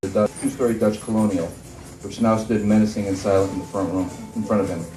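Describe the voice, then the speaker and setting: Here is a normal speaking voice from a man. His pitch is fairly low and his pace fairly quick. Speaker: horror fiction author. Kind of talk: live author reading of a horror short story. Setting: live venue.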